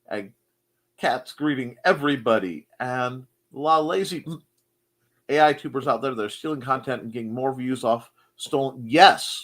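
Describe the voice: A man at medium pitch with a fairly bright tone, moderate pace and ordinary pitch variation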